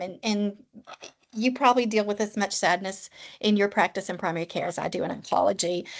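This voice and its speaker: With a Tennessee accent, a woman speaks with lively intonation. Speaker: oncology nurse practitioner. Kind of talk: podcast interview.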